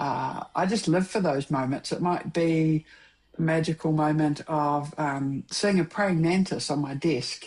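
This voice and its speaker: In a New Zealand accent, a woman speaks at a fairly slow pace. Her very deep, low voice keeps very even loudness and fairly even intonation. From New Zealand, South Island (Dunedin). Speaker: filmmaker and mentor. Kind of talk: casual chat. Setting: podcast interview.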